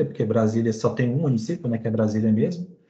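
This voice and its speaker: Somewhat breathy and dark, mellow in tone, a man talks at a medium pitch with ordinary pitch variation. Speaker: student presenter. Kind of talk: class presentation.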